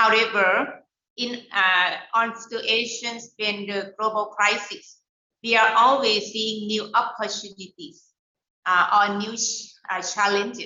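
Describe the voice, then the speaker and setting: In a Thai accent, a woman with a fairly high pitch speaks at a very slow pace with monotone, flat intonation. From Thailand. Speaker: education center leader for small business entrepreneurs. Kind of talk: webinar talk. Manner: halting, many fillers.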